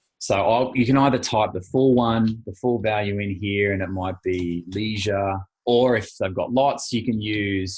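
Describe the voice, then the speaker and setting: A somewhat breathy man at a fairly low pitch, moderate pace and ordinary pitch variation. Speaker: financial planning coach. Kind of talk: webinar presentation. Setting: online webinar.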